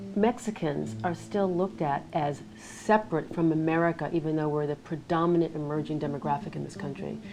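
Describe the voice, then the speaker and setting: Over music in the background, a woman with a very deep, low pitch speaks at a moderate pace with lively intonation. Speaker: interviewer. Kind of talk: interview questions.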